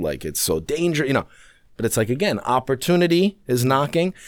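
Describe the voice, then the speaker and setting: Over a very clean recording with a silent background, a man speaks in a New York accent. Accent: New York American. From New York City. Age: 30s. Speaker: expat guest living in Sweden. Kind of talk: casual chat.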